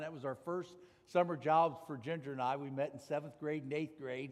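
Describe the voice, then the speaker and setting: Speaking fairly quickly, a man holds a fairly high pitch. His intonation is monotone and flat. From US Midwest, Ohio (north of Cincinnati). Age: 60s. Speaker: corporate executive and speaker. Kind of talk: testimony talk at church.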